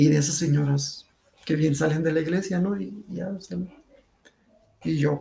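The pace is moderate. It is a man who speaks. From León, Guanajuato, Mexico. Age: 50s. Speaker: amateur runner. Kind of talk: interview.

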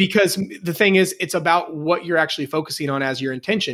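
A man speaks in a normal speaking voice with an American accent. He talks at a fairly quick pace in a fairly high pitch with ordinary pitch variation. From US Midwest, Indiana. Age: 20s. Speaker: personal trainer. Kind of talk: casual chat. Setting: video call.

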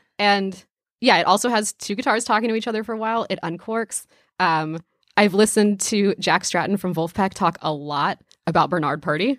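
An ordinary speaking voice with ordinary pitch variation. The recording is very clean, with a silent background. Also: woman, medium pitch for a woman, fairly quick pace, dry, close sound with no echo. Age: 20s. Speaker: podcast co-host. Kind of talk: casual chat.

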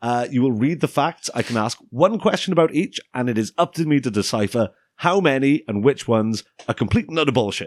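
This man has an ordinary speaking voice at a medium pitch, with lively intonation, a fairly quick pace and a dry, close sound with no echo. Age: 20s. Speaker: podcast host. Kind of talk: casual chat. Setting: studio.

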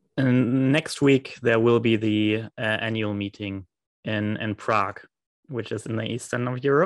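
A man's plain, everyday voice at medium pitch, fairly slow and fairly even, with a dry, close sound, no echo and a quiet background. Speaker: podcast host, hematology doctor. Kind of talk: interview conversation. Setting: remote call.

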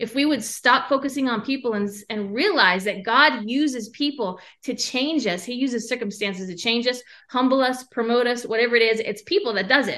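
A woman's high-pitched voice, bright and sharp in tone, at a fairly quick pace with ordinary pitch variation. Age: 40s. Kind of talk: testimony.

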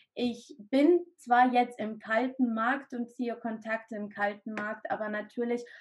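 A woman with an unremarkable speaking voice talks at a fairly slow pace. Her pitch is fairly high and her intonation fairly even. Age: 30s. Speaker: direct sales entrepreneur, mother of three. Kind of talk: interview testimony.

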